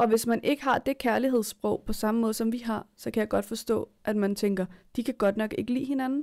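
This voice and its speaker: A woman's fairly high voice with fairly even intonation, at a moderate pace against a quiet background. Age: 20s. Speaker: podcast co-host. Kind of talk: casual chat. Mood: earnest, reflective. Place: home room.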